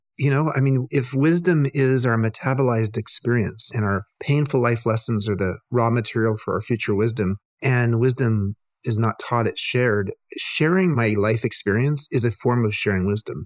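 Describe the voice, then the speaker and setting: On a very clean recording with a silent background and a dry, close sound with no echo, a man with an unremarkable speaking voice talks at medium pitch and a moderate pace, with ordinary pitch variation and very even loudness. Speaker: author and hotelier, cancer patient. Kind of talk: casual interview conversation.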